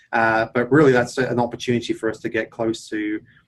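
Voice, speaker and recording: In an English accent, the speaker goes at a fairly quick pace with flat, monotone intonation. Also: man. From England. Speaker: tech executive. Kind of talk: interview.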